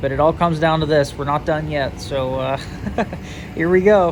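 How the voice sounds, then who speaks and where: At a moderate pace, a man with a fairly high voice speaks over noticeable background noise. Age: 20s. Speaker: railroad hobbyist video host. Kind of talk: casual vlog commentary. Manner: animated.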